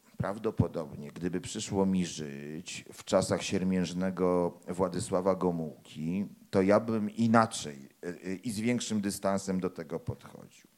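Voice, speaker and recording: A man's very deep, low voice at a very slow pace. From Poland, Warsaw. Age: 40s. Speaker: crime novelist and anthropology professor. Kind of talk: author talk with audience.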